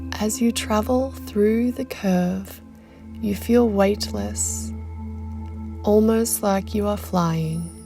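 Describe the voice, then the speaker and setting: With music playing in the background, the speech crawls at a very slow pace with long, frequent pauses. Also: woman. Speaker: mindset coach. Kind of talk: guided meditation.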